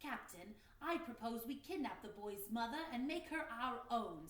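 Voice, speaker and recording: A woman performs a put-on character voice at a high pitch. There is a slight echo and light background noise. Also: moderate pace. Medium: read story. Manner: eager, nervous.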